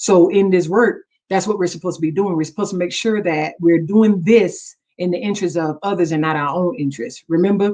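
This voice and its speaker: This woman talks at a fairly quick clip in a medium pitch. Her tone is dark and mellow, and her pitch varies in an ordinary way. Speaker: pastor. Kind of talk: sermon. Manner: fast.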